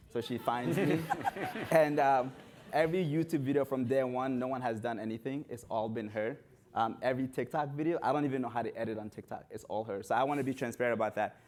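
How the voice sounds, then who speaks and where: Talking at a very fast pace in an animated tone, a man keeps a medium pitch with ordinary pitch variation. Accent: non-native. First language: not English. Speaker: runner and content creator. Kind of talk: panel discussion.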